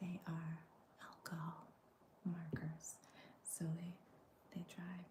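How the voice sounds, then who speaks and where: Whispering and soft-spoken, this voice moves at a fairly slow pace. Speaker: coloring video creator. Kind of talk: coloring tutorial chat.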